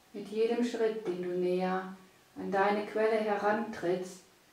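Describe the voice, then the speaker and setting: Over noticeable background noise, a woman talks at a fairly slow pace. Her tone is calm and gentle, with monotone, flat intonation. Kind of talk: guided meditation. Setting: studio, with background music. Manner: slow, soft and soothing, with long pauses; calm, gentle, hypnotic.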